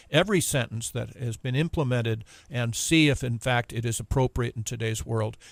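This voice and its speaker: A man's medium-pitched voice at a moderate pace, with ordinary pitch variation, in a very clean recording with a silent background and a dry, close sound free of echo. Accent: American. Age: 60s. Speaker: retired judge, drug policy reform spokesperson. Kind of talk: radio interview. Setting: radio studio.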